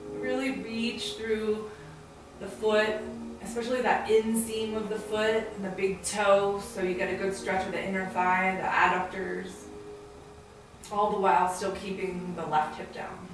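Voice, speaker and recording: Against noticeable background noise and audible room echo, a woman talks at a fairly slow pace. Her intonation stays fairly even. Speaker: yoga teacher. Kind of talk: tutorial. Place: home room. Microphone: camera far.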